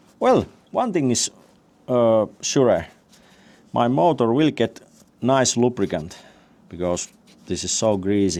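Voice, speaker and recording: Very slow, with long, frequent pauses, the voice has a dark, mellow tone and lively intonation. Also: man, medium pitch for a man. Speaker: DIY tractor restorer. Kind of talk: workshop vlog narration. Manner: halting, many fillers.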